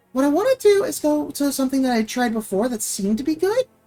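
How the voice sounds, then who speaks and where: A woman talks at a fairly quick pace in a high voice with very wide pitch swings. Music plays behind her. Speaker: gaming streamer. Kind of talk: casual live stream chat. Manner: working on changing voice to sound natural.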